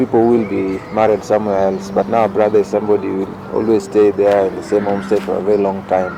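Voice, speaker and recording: With music playing in the background, a man speaks in a fairly low voice. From Kenya (Rongo area). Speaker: youth leader. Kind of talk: interview. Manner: halting.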